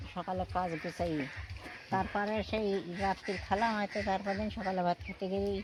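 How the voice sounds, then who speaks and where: Noticeable background noise accompanies a woman speaking in a fairly low voice with ordinary pitch variation. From India–Bangladesh border village, Bengal. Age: 80s+. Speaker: elderly widow living alone. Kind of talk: interview answer.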